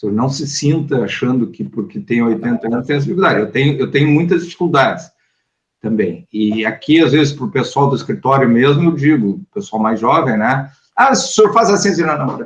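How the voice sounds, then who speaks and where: This man talks at a fairly quick pace with a fairly high pitch. His intonation is lively and his voice somewhat breathy. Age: 60s. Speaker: lawyer and law professor. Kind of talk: online talk Q&A.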